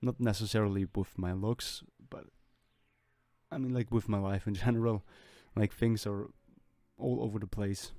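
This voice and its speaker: Over music in the background, a man with a non-native accent speaks at a fairly low pitch and moderate pace, with fairly even intonation and long, frequent pauses. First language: not English. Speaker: artist and welder/machinist making drawing videos. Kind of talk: voiceover commentary over drawing process. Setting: recorded voiceover. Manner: rambling, hesitant with fillers.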